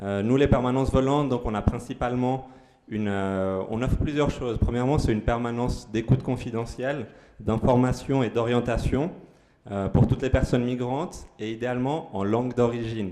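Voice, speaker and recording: This man's medium-pitched voice keeps a moderate pace and fairly even intonation. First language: Spanish (speaking French). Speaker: aid organisation worker. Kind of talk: community presentation. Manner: halting, many fillers.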